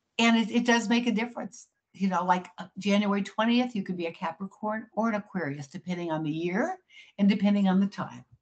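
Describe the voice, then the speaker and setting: Somewhat breathy and at medium pitch, a woman talks at a fairly quick pace with ordinary pitch variation. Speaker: psychic astrologer. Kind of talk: interview. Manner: fast.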